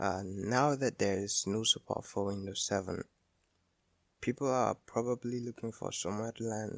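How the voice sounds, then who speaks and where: Quiet and fairly slow, a man with a non-native accent speaks at a medium pitch with fairly even intonation. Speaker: tech YouTuber. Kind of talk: tech tutorial narration.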